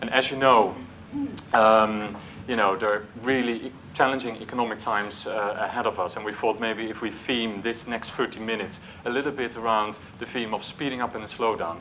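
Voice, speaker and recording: With a Dutch accent, a man talks at a fairly quick pace in a monotone, flat intonation, with audible room echo and noticeable background noise. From Netherlands. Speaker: marketing executive. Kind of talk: conference talk. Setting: stage with audience. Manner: hesitant, with filler words.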